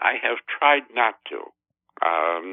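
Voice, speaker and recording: The man's voice is very deep and low in pitch. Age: 90s. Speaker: math teacher. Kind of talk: casual interview. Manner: halting.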